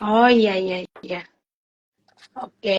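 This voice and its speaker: With a plain, everyday voice, a woman speaks at medium pitch and a fairly slow pace in a dry, close sound with no echo. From South Sulawesi, Bone. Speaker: live show host. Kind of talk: casual interview. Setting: Instagram live stream.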